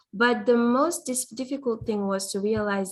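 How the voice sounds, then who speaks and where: On a very clean recording with a silent background, the voice sounds somewhat breathy and shows ordinary pitch variation. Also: woman. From Guinea, West Africa. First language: French (also Fulani). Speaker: student government nominee. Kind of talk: nomination speech.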